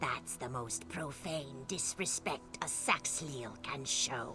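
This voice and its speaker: Over loud background music, a man uses a put-on character voice at a medium pitch and a fairly slow pace. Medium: video game. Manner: bitter, urgent.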